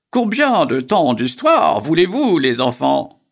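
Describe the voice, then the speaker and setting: A man puts on a character voice, keeping his pitch fairly high and his pace fairly slow. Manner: jovial.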